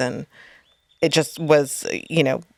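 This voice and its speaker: In a New England accent, a woman with a very deep, low pitch speaks at a fairly slow pace. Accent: New England, sounds funny to Texans. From southern New Hampshire. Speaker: poker stream producer and commentator. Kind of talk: casual chat.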